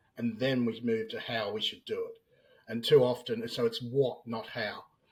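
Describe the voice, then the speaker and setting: The man has an Australian accent and a medium pitch. His intonation stays fairly even. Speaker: business analyst. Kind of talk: interview podcast.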